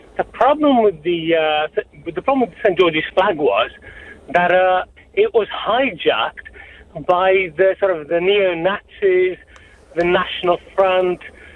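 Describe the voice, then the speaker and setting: Someone speaks at a fairly slow pace with noticeable background noise behind them. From West Midlands, England (Wolverhampton). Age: 50s. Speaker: caller. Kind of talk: phone-in call. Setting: phone call.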